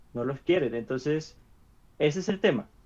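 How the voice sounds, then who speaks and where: This man's voice sits fairly high in pitch. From Venezuela. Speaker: podcast co-host. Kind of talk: casual chat. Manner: halting, many repeated syllables.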